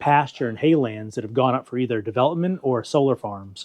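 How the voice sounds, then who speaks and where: At a moderate pace, a man with an ordinary speaking voice speaks at medium pitch with ordinary pitch variation. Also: dry, close sound with no echo. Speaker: podcast host. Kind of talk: interview questions.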